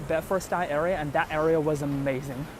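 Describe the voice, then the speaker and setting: Speaking fairly quickly, a man with a Chinese accent has a fairly high pitch. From China (Beijing). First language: Mandarin Chinese. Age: 20s. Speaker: livestream host. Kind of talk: casual livestream walking tour. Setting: outdoors, walking the streets. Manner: hesitant, many fillers.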